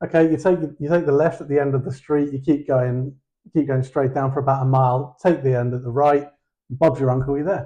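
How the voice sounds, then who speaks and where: At a fairly quick pace, a man with a British accent speaks in a dark, mellow tone, fairly high in pitch, with fairly even intonation. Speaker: co-host. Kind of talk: casual chat.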